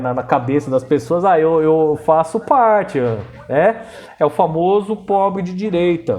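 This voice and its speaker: Here a man speaks with a high pitch and a dark, mellow tone. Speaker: history teacher. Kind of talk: lecture. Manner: casual, slang-laden; slow.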